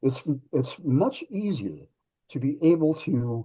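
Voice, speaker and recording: A man with a dark, mellow tone and a somewhat breathy quality speaks with ordinary pitch variation over a quiet background. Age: 60s. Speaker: pup history researcher, activist, performing artist. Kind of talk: panel discussion.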